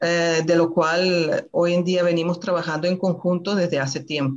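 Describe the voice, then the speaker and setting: Speaking at a fairly slow pace, a woman has an unremarkable speaking voice with fairly low pitch. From Venezuela. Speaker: citizenship advisor, panelist. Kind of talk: online talk, explanatory. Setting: video call, live stream.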